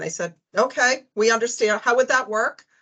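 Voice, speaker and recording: Against a quiet background, a woman talks with a Boston accent. Her pace is fairly quick and her tone bright and sharp. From US, Boston. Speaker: accounting firm partner. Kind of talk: panel presentation. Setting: video call.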